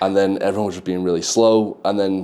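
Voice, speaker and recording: Talking at a fairly quick pace, a man with a fairly low pitch and a dark, mellow tone keeps a fairly even intonation. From England, council estate. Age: 20s. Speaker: office worker abroad, podcast guest. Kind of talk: casual interview. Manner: hesitant, many fillers.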